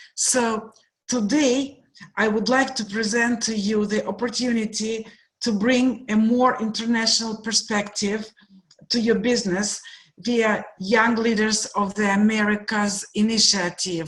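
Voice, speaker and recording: A woman with a fairly high pitch speaks slowly and a little breathily, keeping her intonation fairly even. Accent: Russian. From Russia, Moscow. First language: Russian. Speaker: guest speaker, program director. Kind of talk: presentation.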